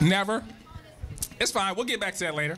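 A man talks at a very fast pace with light background noise. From United States. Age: 20s. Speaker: stand-up comedian. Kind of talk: stand-up comedy. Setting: stage with live audience. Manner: Rowdy crowd-work, barking orders at the audience to make noise. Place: stage. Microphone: handheld.

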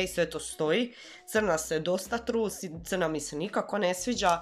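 Using a normal speaking voice, a woman talks at a moderate pace with lively intonation. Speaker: beauty vlogger. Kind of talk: casual product review chat. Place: home room. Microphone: camera far.

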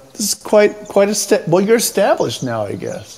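Noticeable background noise sits behind a man who has an American accent. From Southern California. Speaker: online arts show host. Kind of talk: casual chat; scripted narration.

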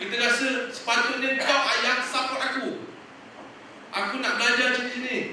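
Pitched extremely high, a man projects a raised voice at a fairly slow pace. There is strong room echo and light background noise. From Malaysia. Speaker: young teacher sharing experience. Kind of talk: talk to student teachers, casual and humorous. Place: hall. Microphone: podium.

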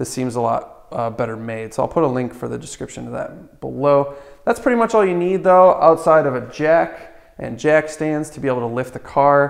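The man keeps to a moderate speed. Lively intonation runs through his speech. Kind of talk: tutorial. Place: garage. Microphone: camera far.

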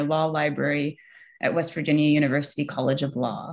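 The background is quiet. A woman speaks in a very deep, low voice. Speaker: event moderator. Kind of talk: formal introduction of speakers. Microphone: video call.

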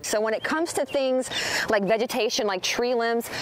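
A woman talks at a moderate pace while light background noise plays behind her. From United States. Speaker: TV weather and traffic anchor. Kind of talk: TV weather broadcast.

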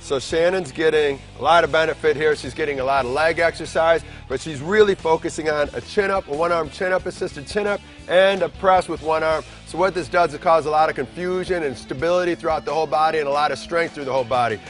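The speech comes at a very fast pace with hardly any pauses, with faint music in the background. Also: man, ordinary pitch variation. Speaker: fitness trainer host. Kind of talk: instructional commentary. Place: gym.

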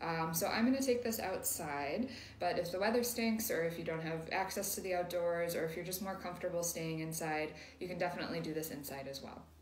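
Fairly quick and fairly low-pitched, a woman speaks over noticeable background noise. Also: ordinary pitch variation. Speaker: meditation guide. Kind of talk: guided meditation. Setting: outdoors. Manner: gentle, instructional, with long pauses.

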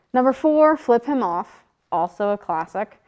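A woman speaks at a high pitch and a very slow pace. The background is quiet. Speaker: student comedy show host. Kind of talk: comedic monologue and sketch interview. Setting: studio. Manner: sarcastic, irreverent. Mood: playful, jokey. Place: studio.

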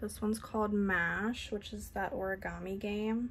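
Light background noise sits behind a woman's voice. She talks at a moderate pace. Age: 30s. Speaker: beauty YouTuber. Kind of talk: casual unboxing vlog. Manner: animated. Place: home room. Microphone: phone near.

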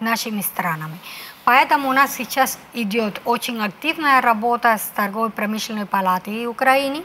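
At a moderate pace and a fairly high pitch, a woman speaks with ordinary pitch variation over light background noise. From Cuba. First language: Spanish (speaking Russian). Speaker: ambassador; guest. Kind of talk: interview. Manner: halting, many hesitations. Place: studio. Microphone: lapel.

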